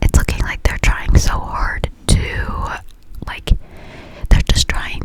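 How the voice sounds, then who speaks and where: The delivery is a whisper at a fairly slow pace. Noticeable background noise is present. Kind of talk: ASMR casual talk. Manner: close whispers.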